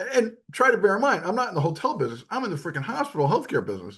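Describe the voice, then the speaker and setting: A man's voice shows vocal fry and very wide pitch swings against a quiet background. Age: 70s. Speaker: physician and podcast co-host. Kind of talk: podcast interview. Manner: animated.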